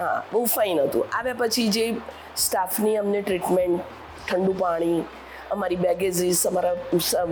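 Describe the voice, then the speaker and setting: A woman's fairly even intonation carries through noticeable background noise. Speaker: retired teacher, resident. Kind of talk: testimonial interview.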